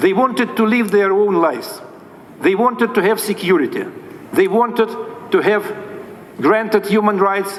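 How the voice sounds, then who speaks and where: A man with a Russian accent speaks at a moderate pace in a high pitch, with ordinary pitch variation, very even loudness and long, frequent pauses. Noticeable background noise runs under his voice. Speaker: diplomat. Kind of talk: formal speech. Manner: formal.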